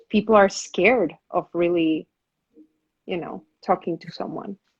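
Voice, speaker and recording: Against a quiet background, someone with a non-native accent speaks at a fairly slow pace with ordinary pitch variation. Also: woman. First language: not English. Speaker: actor and talk show host. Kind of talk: casual interview conversation. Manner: halting, many repetitions.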